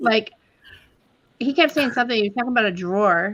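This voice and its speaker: A woman with an American accent, fairly high-pitched, very fast, and with lively intonation. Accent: Texas accent, noticeable when up north. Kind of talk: casual chat. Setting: live stream.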